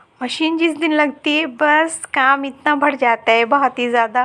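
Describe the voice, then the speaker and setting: At a fairly slow pace, a woman speaks in a high pitch with monotone, flat intonation. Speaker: vlogger, housewife. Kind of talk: casual vlog narration.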